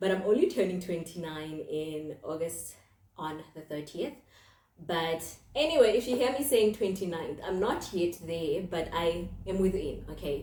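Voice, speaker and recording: This woman has an ordinary speaking voice, pitched fairly low, with lively intonation and a moderate pace. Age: 20s. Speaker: podcast host and mental health counselor. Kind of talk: casual monologue podcast. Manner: conversational, with fillers.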